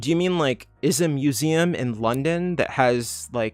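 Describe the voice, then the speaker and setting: A normal speaking voice from a man at a fairly high pitch, with ordinary pitch variation and a moderate pace, dry and close with no echo on a very clean recording with a silent background. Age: 30s. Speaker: youtuber answering viewer questions. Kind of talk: livestream Q&A. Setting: livestream from home. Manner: casual, filler-heavy. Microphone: laptop setup, unsure of sound.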